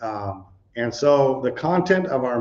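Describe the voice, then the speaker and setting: With lively intonation and a somewhat breathy voice, a man speaks fairly slowly at a medium pitch. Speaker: preacher. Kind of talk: sermon. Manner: halting.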